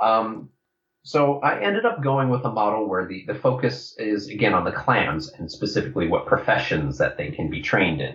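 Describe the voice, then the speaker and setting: Using vocal fry, a man at a medium pitch talks at a moderate pace with very wide pitch swings. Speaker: game designer. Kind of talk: casual interview.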